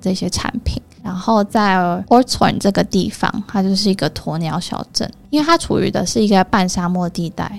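A woman speaks at medium pitch with vocal fry. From Taiwan, Taichung. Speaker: travel company owner. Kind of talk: interview. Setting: studio.

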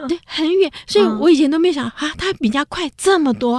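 Speaking at a fairly quick pace with lively intonation, a woman is heard in a very clean recording with a silent background and a dry, close sound with no echo. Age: 70s. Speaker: radio host, professor. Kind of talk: casual radio chat. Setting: studio.

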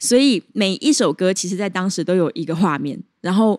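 A woman at medium pitch and moderate pace, in a very clean recording with a silent background. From Taiwan, Chiayi. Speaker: jazz singer and pharmacist. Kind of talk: casual interview. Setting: jazz bar.

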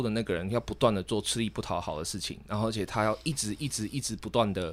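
A man with a Taiwanese accent speaks at a medium pitch and fairly quick pace in a very clean recording with a silent background. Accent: Taiwanese Mandarin. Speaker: podcast co-host. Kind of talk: casual debate.

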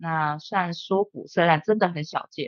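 A woman talks at a fairly quick pace with a fairly low pitch. She has a normal speaking voice. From Taiwan. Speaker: bartender and bar owner. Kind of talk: casual interview.

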